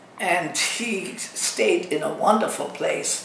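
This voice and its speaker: A woman talks very slowly while noticeable background noise runs underneath. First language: Dutch. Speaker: assisted living resident. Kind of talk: interview answer.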